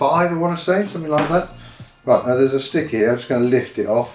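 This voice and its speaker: Music plays behind a man with a British accent. His pitch is fairly high. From United Kingdom. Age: 50s. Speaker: skateboarder. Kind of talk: casual talk to camera, unboxing. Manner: chatty, rambling.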